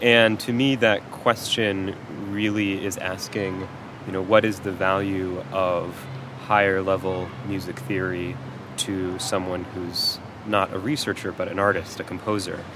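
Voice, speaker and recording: Noticeable background noise sits under a man with a fairly low pitch. He speaks at a fairly slow pace with fairly even intonation. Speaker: music theory PhD candidate and instructor. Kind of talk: interview.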